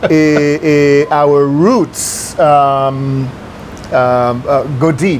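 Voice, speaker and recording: Noticeable background noise surrounds a man with an American accent and a fairly high pitch. He speaks at a very slow pace, his intonation fairly even. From New York. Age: 60s. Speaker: businessman. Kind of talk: interview. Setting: restaurant. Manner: hesitant, many fillers.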